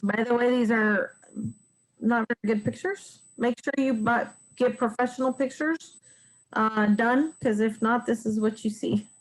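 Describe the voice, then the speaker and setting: Here a woman uses a normal speaking voice at a fairly high pitch and a moderate pace. Her intonation is fairly even and her loudness very even. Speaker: realtor teaching real estate investing. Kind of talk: webinar presentation. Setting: online webinar.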